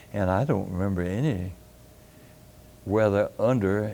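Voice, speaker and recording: Speaking with a Tennessee accent, a man with a fairly low pitch and a dark, mellow tone shows ordinary pitch variation. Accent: Southern US (Tennessee). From Carthage, Tennessee (US South). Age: 90s (80s+). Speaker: retired physician. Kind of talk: oral history interview. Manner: halting, many fillers.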